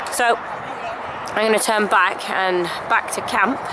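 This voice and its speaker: A woman speaks over loud background noise. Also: dry sound with no echo. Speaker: hobby vlogger at a reenactment event. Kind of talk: casual vlog chat. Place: open country. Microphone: phone near.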